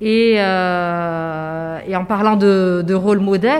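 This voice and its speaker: This woman's voice sits at a medium pitch, and her intonation is fairly even. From Morocco, Casablanca. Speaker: venture capital fund executive. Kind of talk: interview conversation. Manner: hesitant with many fillers.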